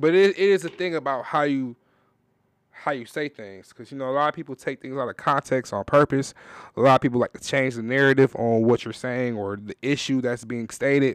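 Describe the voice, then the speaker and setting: A normal speaking voice moves at a fairly quick pace with ordinary pitch variation. The recording is very clean and silent behind it, with a dry, close sound and no echo. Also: man, medium pitch for a man. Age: 20s. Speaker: podcast host. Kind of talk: casual chat.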